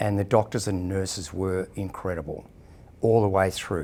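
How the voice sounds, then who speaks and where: In a very clean recording with a silent background, a man with an Australian accent speaks at a moderate pace in a very deep, low pitch. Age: 60s. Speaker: person living with HIV sharing experience. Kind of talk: personal testimony interview. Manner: hesitant, with frequent fillers.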